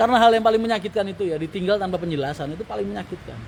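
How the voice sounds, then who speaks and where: A man talks at a very fast pace with lively intonation and a high pitch. Noticeable background noise can be heard. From Tangerang / Jakarta area, Indonesia. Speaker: livestream host, bus company owner. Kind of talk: casual live-stream chat reading viewer comments.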